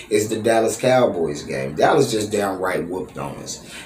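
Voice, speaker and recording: An animated man at a moderate pace, with audible room echo and noticeable background noise. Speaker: sports fan vlogger. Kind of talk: fan reaction commentary.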